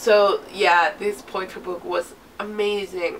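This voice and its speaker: With noticeable background noise, a woman speaks using very wide pitch swings. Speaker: book reviewer; literature student. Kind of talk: casual talk to camera.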